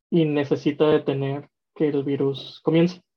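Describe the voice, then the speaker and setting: A woman with a Mexican accent at a fairly slow pace. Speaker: podcast co-host. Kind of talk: casual chat.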